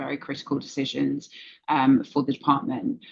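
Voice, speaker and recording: The speaker has a London accent. The intonation is monotone and flat. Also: woman. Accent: British (London). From England, London. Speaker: cybersecurity executive. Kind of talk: interview.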